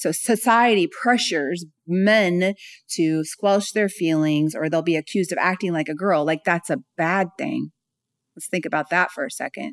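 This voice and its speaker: A woman with an American accent and an unremarkable speaking voice, fairly low in pitch, at a moderate pace with ordinary pitch variation, in a dry, close sound with no echo. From California. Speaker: speaker and author on self-love. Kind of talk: interview conversation.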